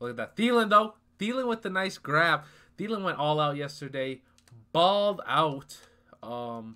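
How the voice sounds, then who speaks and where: A man talks at a moderate pace with long, frequent pauses. His pitch swings very widely. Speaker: gaming YouTuber. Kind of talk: live gameplay commentary. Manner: animated. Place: home room.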